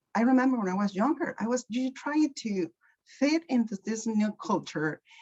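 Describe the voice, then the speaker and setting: Speaking at a moderate pace with a Mexican accent, a woman sounds somewhat breathy and has lively intonation. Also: dry, close sound with no echo. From Mexico, Michoacan. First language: Spanish. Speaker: guest speaker. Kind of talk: panel interview. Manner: halting.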